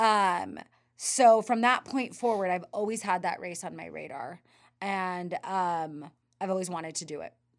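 An unremarkable speaking voice from a woman with an American accent, medium in pitch with ordinary pitch variation, at a fairly slow pace with big swings in loudness, on a very clean recording with a silent background. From US West (Northern California). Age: 30s. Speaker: ultra runner and running coach. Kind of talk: casual interview chat.

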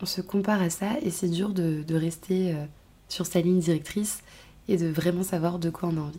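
A woman with a dark, mellow tone and a somewhat breathy voice speaks at a moderate pace. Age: 20s. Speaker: podcast host. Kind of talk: personal monologue. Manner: hesitant, many fillers.

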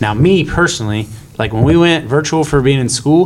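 Lively intonation from a man against noticeable background noise. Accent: American. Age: 30s. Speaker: agriculture teacher and student club advisor. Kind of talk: casual group discussion. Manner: halting, many fillers.

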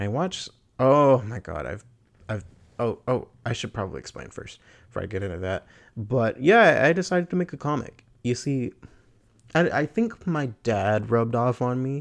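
Against a quiet background, a man speaks in a plain, everyday voice at medium pitch and a moderate pace. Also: lively intonation. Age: 20s. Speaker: podcaster. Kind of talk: casual monologue. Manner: rambling with frequent laughs and fillers.

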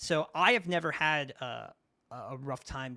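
A man with a New York accent speaks in a bright, sharp tone. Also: very clean recording, silent background. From US, New York (Brooklyn). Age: 30s. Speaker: video interviewer and content creator in the fighting game community. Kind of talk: casual chat.

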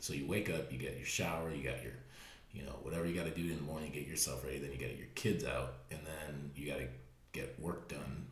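A man with a very deep, low voice talks very fast with fairly even intonation. Audible room echo is present. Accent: American. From US Midwest (Fremont, Ohio). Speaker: podcast co-host, fitness business owner. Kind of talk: casual chat.

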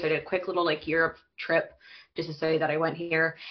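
A woman speaks with a Western Canadian accent. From Canada, Alberta (small town near Calgary). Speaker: recent emigrant. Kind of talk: casual chat.

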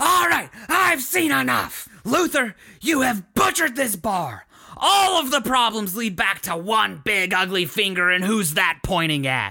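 A man speaks in a raised, projected voice at a fairly slow pace, his pitch high. The tone is bright and sharp, and the pitch swings very widely. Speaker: podcast co-host. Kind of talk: casual comedic banter podcast.

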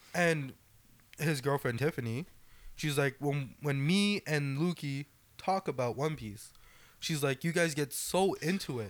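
On a very clean recording with a silent background, a man talks in an ordinary speaking voice at a fairly slow pace with ordinary pitch variation. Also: fairly high pitch for a man. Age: 20s. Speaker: podcast co-host. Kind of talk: casual chat.

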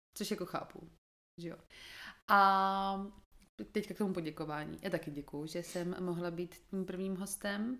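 Pausing long and often, a woman speaks fairly slowly at medium pitch in a bright, sharp tone with fairly even intonation, on a very clean recording with a silent background. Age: 20s. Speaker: podcast guest, host's sister. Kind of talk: casual chat.

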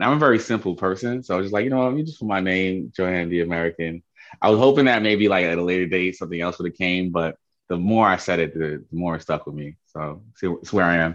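Speech comes at a very fast pace in a New York accent. Pitch varies in an ordinary way. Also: man, very deep, low pitch for a man. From Queens, New York. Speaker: interviewee. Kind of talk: interview.

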